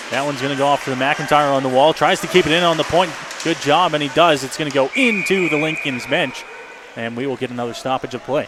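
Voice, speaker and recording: A very fast, energetic delivery with ordinary pitch variation amid noticeable background noise. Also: man, fairly high pitch for a man. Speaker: radio play-by-play announcer. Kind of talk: live hockey play-by-play commentary.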